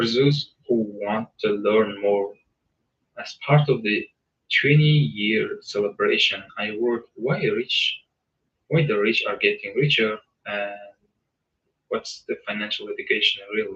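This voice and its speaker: A man with a non-native accent at a fairly slow pace, with long, frequent pauses. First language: not English. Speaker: book reader and commentator. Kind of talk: reading aloud with casual commentary. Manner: casual; halting, with self-corrections.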